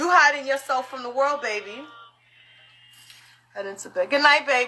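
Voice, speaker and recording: At a moderate pace, a woman with a high pitch speaks in a raised, projected voice with an animated tone, ordinary pitch variation, big swings in loudness and noticeable background noise. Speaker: live stream host, spiritual practitioner. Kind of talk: casual live stream chat. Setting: live social media stream.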